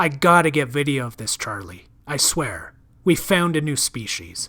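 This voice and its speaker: Putting on a growling character voice, a man speaks at a moderate pace and a fairly high pitch. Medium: read story. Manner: brash, impatient.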